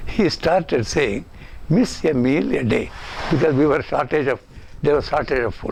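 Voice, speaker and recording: Pausing long and often, a man with a fairly high pitch and vocal fry talks at a moderate pace. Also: ordinary pitch variation. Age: 80s+. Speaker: public figure giving a tribute. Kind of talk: recorded tribute.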